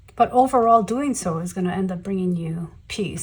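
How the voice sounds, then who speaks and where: A somewhat breathy woman's voice at a medium pitch. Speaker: tarot reader. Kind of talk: tarot reading to camera. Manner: halting, many fillers.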